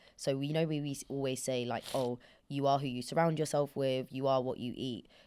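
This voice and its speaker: A woman with a British accent, very deep and low in pitch and dark and mellow in tone, is captured in a very clean recording with a silent background. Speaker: podcast host. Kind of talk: casual chat. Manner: animated.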